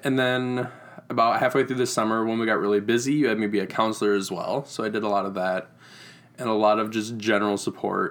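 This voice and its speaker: A man's medium-pitched voice with a Midwestern American accent, very fast pace and fairly even intonation. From Iowa, US Midwest. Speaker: camp site manager. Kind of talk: casual interview chat.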